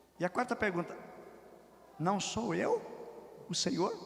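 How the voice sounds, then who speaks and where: A man speaks in an animated tone with noticeable background noise behind him. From southern Brazil, Rio Grande do Sul. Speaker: pastor. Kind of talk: sermon.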